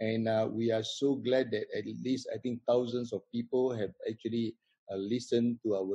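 Against a quiet background, a man speaks with a monotone, flat intonation. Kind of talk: host welcome remarks. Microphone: video call.

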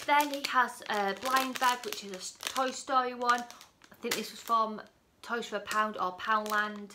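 Fairly even intonation from a woman at a fairly slow pace, with noticeable background noise. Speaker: parent vlogger. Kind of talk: casual vlog chat. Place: home room. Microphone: phone near.

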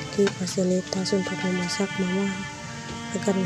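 A woman is heard with a dry sound and no echo. Loud music plays in the background. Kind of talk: personal complaint narration. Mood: sad, troubled. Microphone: phone near.

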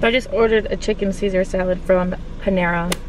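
At a moderate pace and with fairly even intonation, a woman is heard in a dry, echo-free recording with noticeable background noise. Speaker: vlogger. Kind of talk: casual vlog chat. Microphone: phone near.

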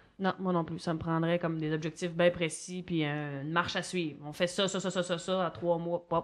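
A woman with a strong Gaspésie accent talks in a fairly low pitch with monotone, flat intonation and hardly any pauses. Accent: strong regional Gaspésie Quebec French. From Quebec, Gaspésie. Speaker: comedian. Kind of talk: casual chat. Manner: fast.

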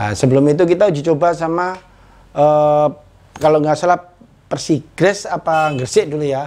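This is an unremarkable speaking voice. It moves at a moderate pace. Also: man. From East Java, Indonesia (Tulungagung); East Java. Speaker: former football striker; interviewee. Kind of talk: casual interview. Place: home room. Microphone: lapel.

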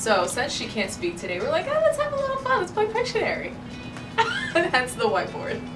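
Someone talks at a fairly quick pace with clear music in the background. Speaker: radio DJ. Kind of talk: casual studio banter. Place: office. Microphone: camera far.

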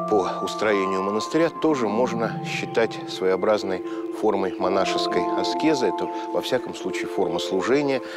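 Loud music plays behind a man speaking at a moderate pace, his voice dry with no echo. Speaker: presenter. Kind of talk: documentary narration to camera. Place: garden.

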